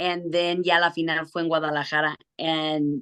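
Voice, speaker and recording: Against a quiet background, a woman with an American accent speaks fairly slowly in a fairly low, bright, sharp tone with monotone, flat intonation. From US Midwest (Chicago) and Jalisco, Mexico. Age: 30s. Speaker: singer. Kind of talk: casual interview chat. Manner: code-switching English and Spanish.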